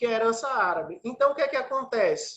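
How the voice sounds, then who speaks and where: The speaker has an animated tone with ordinary pitch variation. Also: man. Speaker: musician. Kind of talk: lecture.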